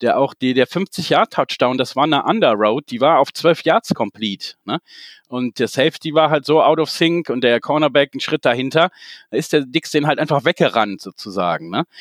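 In a normal speaking voice, a man with a fairly high pitch talks at a moderate pace with lively intonation, in a very clean recording with a silent background and a dry, close sound with no echo. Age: 40s. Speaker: football fan club founder. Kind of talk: casual chat.

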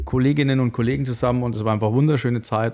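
A man speaks at a medium pitch in an ordinary speaking voice. His pitch varies in an ordinary way. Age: 30s. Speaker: radiologist and beer influencer. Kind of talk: casual chat. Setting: studio.

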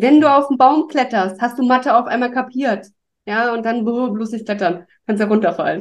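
A woman talks at a moderate pace in a fairly high voice. She has an unremarkable speaking voice. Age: 40s. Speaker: podcast guest. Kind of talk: casual chat.

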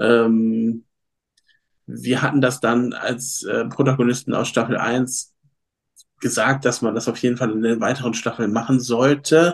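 A man's monotone, flat delivery at a fairly slow pace, broken by long, frequent pauses. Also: medium pitch for a man. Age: 30s. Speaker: fitness coach and former reality TV participant. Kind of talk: casual interview.

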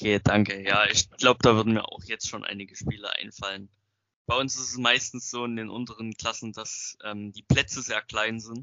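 A man at medium pitch and moderate pace, flat and monotone, with big swings in loudness. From Saxony, near Zwickau. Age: young. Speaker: young football referee. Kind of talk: interview questions.

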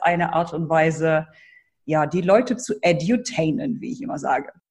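A woman speaks at a moderate pace with lively intonation and a somewhat breathy voice. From Germany, Hannover. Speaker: brand building coach. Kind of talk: interview.

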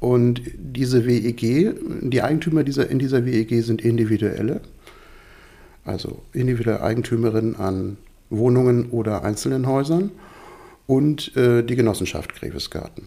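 With a dark, mellow tone at a medium pitch, a man speaks at a moderate pace with ordinary pitch variation and long, frequent pauses. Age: 50s. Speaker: resident of a co-housing project. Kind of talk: interview. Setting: at home, living room.

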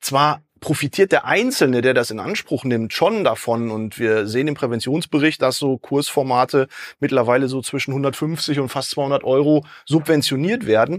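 A man with an ordinary speaking voice and a fairly high pitch talks with ordinary pitch variation on a very clean recording with a silent background. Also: moderate pace. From Dortmund, Ruhr area, Germany. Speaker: health consultant, sports scientist. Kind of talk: podcast interview.

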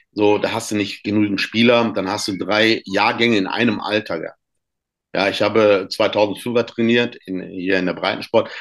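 In a quiet background, a man speaks fairly slowly at a fairly low pitch with monotone, flat intonation. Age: 50s. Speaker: youth football coach and author. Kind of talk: podcast interview. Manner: halting, many fillers.

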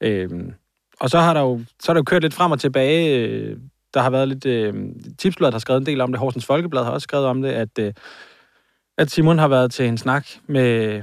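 Using a normal speaking voice, a man talks at a moderate pace with ordinary pitch variation. The recording is very clean and the background silent. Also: medium pitch for a man. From Copenhagen area (Hvidovre). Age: 30s. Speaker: podcast co-host. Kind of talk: casual chat.

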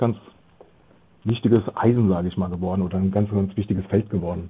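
A man speaks in an ordinary speaking voice, pitched fairly low. His pitch varies in an ordinary way. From Germany, Frankfurt am Main. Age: 40s. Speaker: loyalty marketing consultant. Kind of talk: interview.

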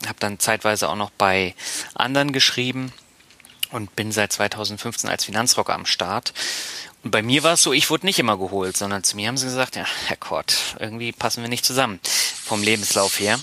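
The man's voice has a dry, close sound with no echo, though noticeable background noise comes through. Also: medium pitch for a man, ordinary pitch variation, moderate pace. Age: 30s. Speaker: podcast host, marketing professional. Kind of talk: casual chat.

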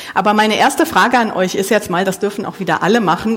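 With noticeable background noise behind her, a woman of medium pitch speaks at a fairly quick pace. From Germany, Mönchengladbach (Lower Rhine). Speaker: preacher. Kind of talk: sermon. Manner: casual, with many fillers.

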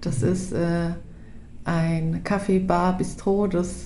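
With a dark, mellow tone and somewhat breathy delivery, a woman speaks at a medium pitch and very slow pace amid audible room echo. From Upper Franconia, Bavaria, Germany (Hof). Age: 30s. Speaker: project participant. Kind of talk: casual chat.

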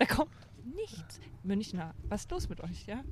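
A woman with a slight Franconian accent talks at a fairly slow pace over noticeable background noise. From Upper Franconia, near Bayreuth. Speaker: former astronaut trainer, speaker. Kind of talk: casual chat.

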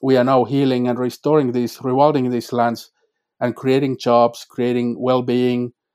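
A man at a moderate pace in a Finnish accent, his intonation monotone and flat, the sound dry and close with no echo. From Finland, North Karelia. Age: 40s. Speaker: climate scholar. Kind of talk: interview.

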